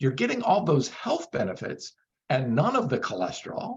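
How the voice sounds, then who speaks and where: With a fairly quick pace and very wide pitch swings, the man sounds somewhat breathy. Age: 60s. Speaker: vegan bodybuilder and supplement company owner. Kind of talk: interview. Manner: animated.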